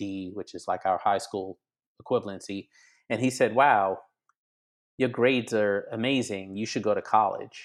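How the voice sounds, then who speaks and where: On a very clean recording with a silent background, a man with an unremarkable speaking voice talks at a moderate pace, using a fairly low pitch and fairly even intonation. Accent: American. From Grenada and Brooklyn, New York. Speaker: criminal justice reform advocate. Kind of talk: interview.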